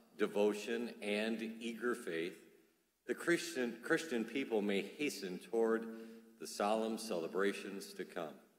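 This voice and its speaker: Speaking fairly slowly, a man's voice comes with audible room echo. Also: quiet background. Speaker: priest celebrating Mass. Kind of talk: liturgical prayer. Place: church.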